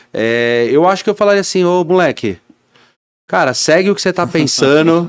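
A man speaks at a moderate pace, his pitch high for a man and his loudness very even. The sound is dry with no echo, over a quiet background. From São Paulo city, Brazil; Brazil. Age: 30s. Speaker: business owner; podcast guest. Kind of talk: interview. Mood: relaxed, animated. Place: studio. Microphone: studio mic.

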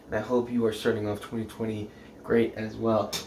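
A man talks at a moderate pace with monotone, flat intonation. There is audible room echo and light background noise. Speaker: presenter. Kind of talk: casual forecast vlog. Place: kitchen.

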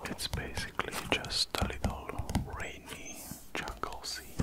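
Soft-spoken whispering at a fairly slow pace. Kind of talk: tutorial. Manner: soft ASMR whisper. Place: home room.

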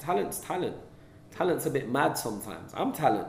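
Audible room echo rings around speech with lively intonation. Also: man. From London, England. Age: young. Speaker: film director; interviewee. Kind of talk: interview. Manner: casual, with many fillers. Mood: relaxed, reflective. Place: meeting room.

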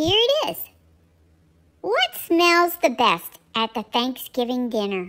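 A woman performs a put-on character voice that sits high, swings very widely in pitch and moves at a fairly slow pace with long, frequent pauses. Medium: animal voice-over. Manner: playful, cute.

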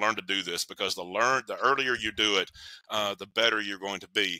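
In an East Tennessee accent, a man with a medium-pitched, bright, sharp voice talks at a fairly quick pace with ordinary pitch variation, the sound dry with no echo against a quiet background. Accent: Southern US (East Tennessee). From US South, Knoxville, Tennessee. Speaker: counselor and relationship author; podcast guest. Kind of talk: interview. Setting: remote call. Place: home room.

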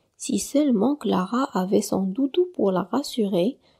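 On a very clean recording with a silent background and a dry, close sound with no echo, a woman speaks with vocal fry. Her tone is gentle, soothing, dark and mellow, and her pitch swings very widely. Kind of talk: bedtime story narration for children. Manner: gentle, soothing storyteller; slow, warm, softly dramatized with hushed whispers for the characters.

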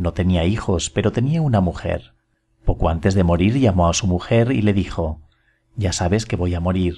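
A man's very deep, low voice, dark and mellow, somewhat breathy, at a moderate pace with ordinary pitch variation. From Spain. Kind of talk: short story reading.

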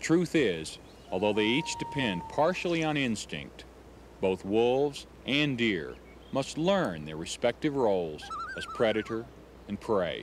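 Amid noticeable background noise, a man speaks at a fairly slow pace in a dry sound with no echo. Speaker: nature documentary host. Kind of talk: documentary narration to camera. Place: waterside.

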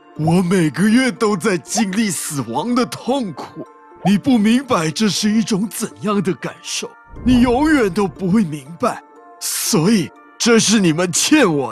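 Faint music plays in the background behind a man with a high pitch. He speaks at a fairly slow pace. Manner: pleading, anguished.

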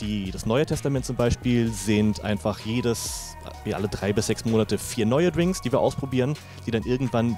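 A man speaks at a fairly quick pace, his pitch fairly low with ordinary variation. Clear music plays behind him in a dry space with no echo. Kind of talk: interview answer. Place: bar. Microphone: handheld.

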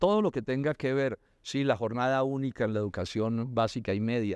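Over a quiet background, a man talks at a fairly quick pace, the sound dry with no echo. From Colombia. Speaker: politician; candidate. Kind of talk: interview. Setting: university cloister. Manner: halting with repetitions.

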